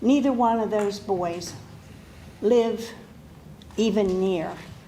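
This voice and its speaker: Speaking very slowly with an American accent, a woman keeps a medium pitch and fairly even intonation, with noticeable background noise and audible room echo. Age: 80s+. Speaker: resident speaking at public hearing. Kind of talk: public comment. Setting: public hearing room.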